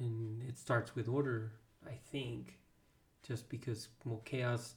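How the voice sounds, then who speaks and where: A somewhat breathy man at a medium pitch, fairly slow, with monotone, flat intonation. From Texas. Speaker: podcast co-host. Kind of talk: casual chat.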